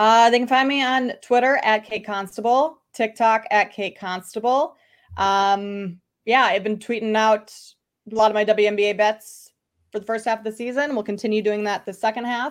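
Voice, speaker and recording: At a moderate pace and fairly high pitch, a woman with a slight Midwestern US accent speaks with fairly even intonation on a very clean recording with a silent background. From Minnesota, US Midwest. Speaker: sports bettor, guest analyst. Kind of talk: casual interview chat.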